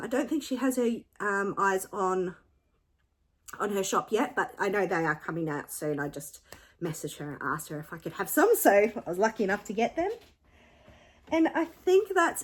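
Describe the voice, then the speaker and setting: Using a put-on character voice, a woman speaks raspily at medium pitch and a moderate pace, with very wide pitch swings and long, frequent pauses, on a very clean recording with a silent background. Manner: talking fast.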